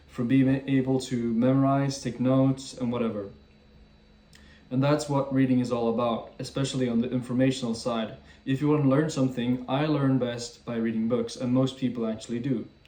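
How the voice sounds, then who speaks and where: Against noticeable background noise, a man holds a medium pitch with fairly even intonation. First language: French and Swedish. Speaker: YouTuber. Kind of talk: casual talk to camera.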